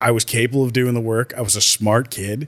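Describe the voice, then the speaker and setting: An unremarkable speaking voice talks at a moderate pace with fairly even intonation. The recording is very clean, with a silent background. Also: man. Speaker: podcaster. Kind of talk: casual chat. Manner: relaxed, conversational.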